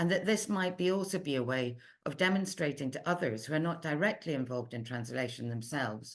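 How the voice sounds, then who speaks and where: A woman speaks with a very deep, low pitch and an Edinburgh accent. Her intonation is lively. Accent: Scottish (Edinburgh). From Scotland, Edinburgh. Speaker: literary translator. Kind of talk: research seminar talk, read from prepared text. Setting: online seminar. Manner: measured, self-correcting at times.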